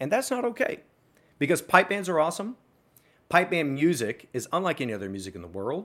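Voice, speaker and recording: Vocal fry and very wide pitch swings in a man's speech. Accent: American. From US South, small-town Arkansas. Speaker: music educator and entrepreneur. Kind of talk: interview conversation.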